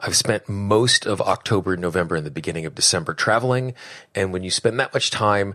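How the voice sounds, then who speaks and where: With lively intonation, a man talks in a bright, sharp tone. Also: very clean recording, silent background. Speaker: podcast host and tapping coach. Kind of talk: podcast monologue.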